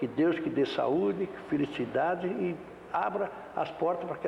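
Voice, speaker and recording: Through noticeable background noise, a man with a high-pitched voice talks at a fairly slow pace. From Brazil, São Paulo state. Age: 70s. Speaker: former football goalkeeper. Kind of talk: interview.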